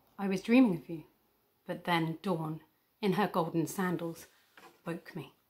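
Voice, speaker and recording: Somewhat breathy, a woman speaks at a fairly slow pace with fairly even intonation and long, frequent pauses. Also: fairly low pitch for a woman. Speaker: academic poetry reader. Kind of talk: poetry reading. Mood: gentle, wistful, expressive. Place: home room. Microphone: phone near.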